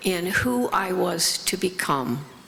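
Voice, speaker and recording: A woman with an American accent talks at a very slow pace with lively intonation. Noticeable background noise runs under her voice. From US Midwest, Lafayette Indiana. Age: 80s+. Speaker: recovery speaker. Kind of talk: testimony.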